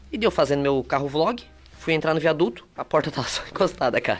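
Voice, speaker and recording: Delivered very fast, the speech shows ordinary pitch variation. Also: man. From southern Brazil, Torres / São João do Sul area. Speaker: entrepreneur and content creator. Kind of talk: casual chat.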